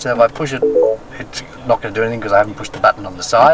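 A man speaks with music in the background. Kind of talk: casual explanation of controls. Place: car.

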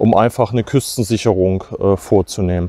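A man's voice with ordinary pitch variation in a dry sound with no echo. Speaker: history explorer vlogger. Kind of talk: casual vlog commentary. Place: open country. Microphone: lapel.

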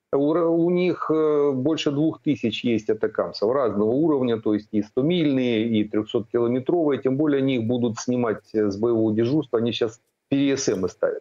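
The voice holds a very even loudness, moving at a moderate pace with ordinary pitch variation. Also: man, quiet background. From Ukraine. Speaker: military analyst, retired air force colonel; military analyst. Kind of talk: news interview. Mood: calm analytical. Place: home room. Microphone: video call.

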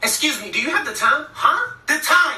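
A woman performs a put-on character voice. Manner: whispering, too quiet.

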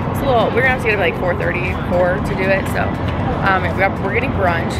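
With music in the background, a woman talks at a very fast pace in a dry sound with no echo. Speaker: vlogger. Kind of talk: casual vlog chat. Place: street. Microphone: phone near.

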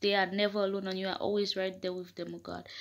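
A woman at a fairly quick pace against a quiet background. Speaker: prayer leader. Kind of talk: fervent prayer. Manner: impassioned, pleading; repetitive, rhythmic invocations. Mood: earnest, fervent. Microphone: phone near.

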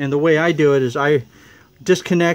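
The man's delivery moves along at a moderate pace. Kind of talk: tutorial. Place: garage. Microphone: phone near.

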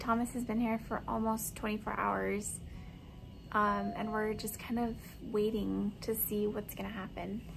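The woman keeps a moderate pace. Clear music sounds behind her. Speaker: parent vlogger. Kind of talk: casual vlog chat. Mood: worried but hopeful. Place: home room. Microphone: phone near.

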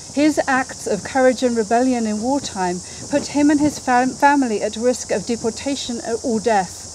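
Her voice is high, her pace moderate, and the dry sound with no echo carries light background noise behind this woman. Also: ordinary pitch variation. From Jersey, Channel Islands. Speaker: politician. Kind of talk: memorial speech. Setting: outdoors. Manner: formal. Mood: solemn, earnest. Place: garden. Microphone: podium.

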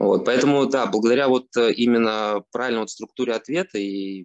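A man speaks at a moderate pace with ordinary pitch variation, the sound dry with no echo and the background quiet. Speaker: online course mentor. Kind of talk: testimony. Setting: video call. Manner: halting. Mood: pleased, relaxed. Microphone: video call.

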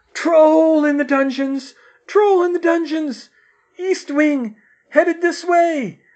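In a put-on character voice, a man shouts at a fairly slow pace, squeaky and at an extremely high pitch. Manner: screaming in panic.

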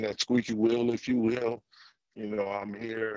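Over a quiet background, the voice stays monotone with flat intonation, and the sound is dry with no echo. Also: man. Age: 50s. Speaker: former football player and activist. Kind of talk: testimony. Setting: video call. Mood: earnest, committed. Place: car. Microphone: video call.

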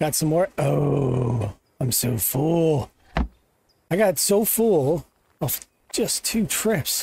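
A man with a fairly high pitch talks very slowly, with long, frequent pauses, very wide pitch swings and very even loudness. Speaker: gaming YouTuber. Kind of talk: gameplay commentary. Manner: casual, thinking aloud.

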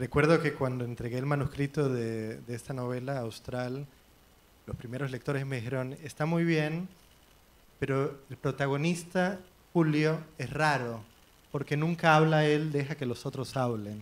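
A man speaks with an unremarkable speaking voice at a fairly high pitch. His pace is fairly slow. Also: fairly even intonation. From Puerto Rico. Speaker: novelist. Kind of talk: literary panel discussion. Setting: library event with audience. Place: hall.

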